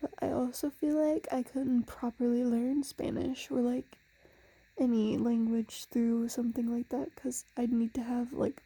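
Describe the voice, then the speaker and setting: Soft-spoken whispering at a fairly slow pace. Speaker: ASMR creator. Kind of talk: casual ASMR monologue. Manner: soft-spoken, near whisper; slurred words.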